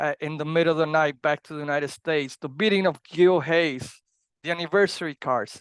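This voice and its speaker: With a strong Puerto Rican accent, a man talks at a fairly quick pace and fairly even intonation, in a dry, close sound with no echo over a quiet background. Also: fairly high pitch for a man. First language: Spanish. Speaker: wrestling podcast host. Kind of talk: podcast monologue. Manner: halting, with fillers.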